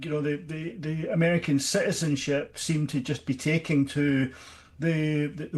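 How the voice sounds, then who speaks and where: A man's fairly high, somewhat breathy voice with fairly even intonation. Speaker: podcast host. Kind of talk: radio interview. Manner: halting, many repetitions.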